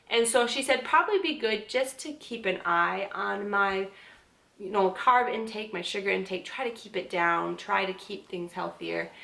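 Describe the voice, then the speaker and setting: A woman's bright, sharp voice at medium pitch, with big swings in loudness and ordinary pitch variation. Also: moderate pace. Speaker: vlogger. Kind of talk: casual vlog update.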